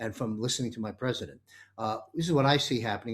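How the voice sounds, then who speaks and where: The man's voice sits at a medium pitch with ordinary variation, captured in a very clean recording against a silent background. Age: 60s. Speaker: talk show host. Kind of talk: panel discussion.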